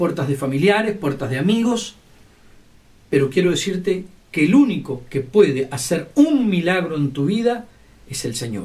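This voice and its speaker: Pausing long and often, a man with a high pitch talks at a fairly slow pace with very wide pitch swings amid audible room echo. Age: 60s. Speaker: lay preacher. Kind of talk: sermon.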